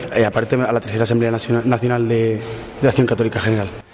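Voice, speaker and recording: Noticeable background noise runs under the recording. A man with a medium-pitched voice talks at a very fast pace. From Córdoba, Spain. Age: 20s. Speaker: law student, pilgrim. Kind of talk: testimony.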